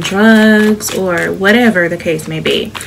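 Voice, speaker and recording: With an American accent, a woman speaks at a medium pitch with fairly even intonation over noticeable background noise. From Chicago. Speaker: tarot reader. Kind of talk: tarot reading to camera. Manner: soft-spoken, soothing.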